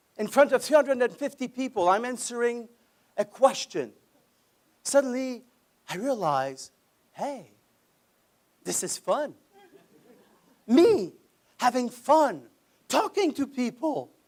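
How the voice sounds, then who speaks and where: With a French accent, the speaker talks fairly slowly with lively intonation and long, frequent pauses. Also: man, extremely high pitch for a man. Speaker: speech contest contestant. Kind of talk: competition speech.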